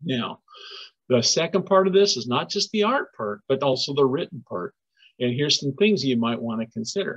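A man in an American accent talks at a moderate pace and a fairly high pitch, swinging very widely in pitch against a quiet background. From US, southern Oregon. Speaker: environmental educator. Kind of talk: educational webinar for children. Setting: recorded webinar in a shared room. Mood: friendly, encouraging. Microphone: webcam.

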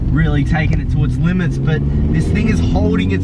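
A man talks at a fairly quick pace with a dry, echo-free sound and music in the background. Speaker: vlog host. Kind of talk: casual car review commentary. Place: car.

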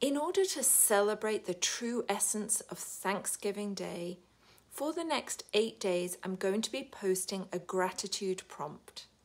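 With a British accent, a woman talks in an upbeat tone at a fairly slow pace, her intonation lively. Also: medium pitch for a woman. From United Kingdom. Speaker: wellbeing coach. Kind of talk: casual talk to camera. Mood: warm and upbeat. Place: home room. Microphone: phone near.

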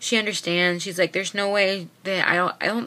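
A bright, sharp tone at a moderate pace. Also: woman. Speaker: vlogger sharing weight-loss surgery experience. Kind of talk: casual vlog chat. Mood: earnest, somewhat frustrated. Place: home room. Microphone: webcam.

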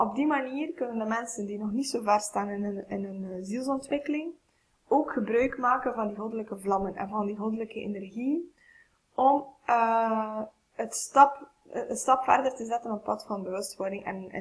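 A woman with a fairly high pitch speaks at a moderate pace in a somewhat breathy voice. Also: ordinary pitch variation. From Flanders, Belgium. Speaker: spiritual coach and channeler. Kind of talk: spiritual vlog talk to camera. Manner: hesitant, many filler sounds. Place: home room. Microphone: webcam.

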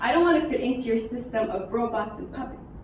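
High-pitched woman at a fairly quick pace, with audible room echo and light background noise. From Iran. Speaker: spoken word poet. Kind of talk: spoken word poetry performance. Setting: live event with audience. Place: hall.

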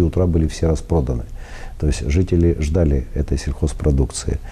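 A man with a very deep, low pitch, ordinary pitch variation and a moderate pace. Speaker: guest. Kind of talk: interview answer. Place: studio. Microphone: lapel.

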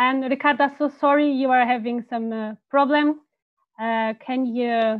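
A woman with a high pitch speaks in fairly even intonation. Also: quiet background. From Italy. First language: Italian. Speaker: panel moderator. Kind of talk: online panel discussion. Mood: friendly, smiling. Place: home room. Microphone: earbuds.

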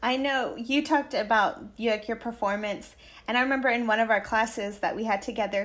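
At a fairly quick pace, a woman with a fairly high pitch and fairly even intonation uses an unremarkable speaking voice. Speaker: music therapist. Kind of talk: casual podcast chat.

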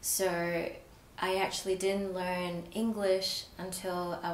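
With an Australian accent, a woman talks in a monotone, flat intonation over light background noise and audible room echo. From Australia, partly raised in Malaysia. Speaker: provisional psychologist. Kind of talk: personal story interview. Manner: frequent fillers, hesitant. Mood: warm, reflective, smiling. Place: studio.

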